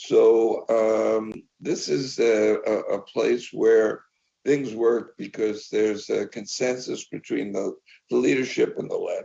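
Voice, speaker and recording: In a New York accent, a man speaks at a very slow pace. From US, New York. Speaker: media industry executive. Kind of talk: interview. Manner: halting, many fillers and repeats.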